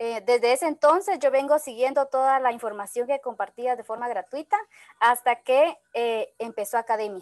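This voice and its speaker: A high-pitched woman talks with ordinary pitch variation. The sound is dry with no echo, over a quiet background. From Guatemala. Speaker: network marketing entrepreneur; guest. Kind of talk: testimony. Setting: video call. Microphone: video call.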